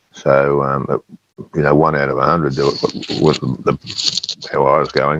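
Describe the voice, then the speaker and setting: A man with an Australian accent at a fairly slow pace, the sound dry and close with no echo. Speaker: former footballer. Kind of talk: podcast interview answer. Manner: storytelling.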